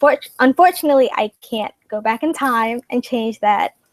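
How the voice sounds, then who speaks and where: A soft-spoken woman's voice, fairly high in pitch, with ordinary pitch variation and a dry, close sound with no echo. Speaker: student candidate in election. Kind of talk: interview.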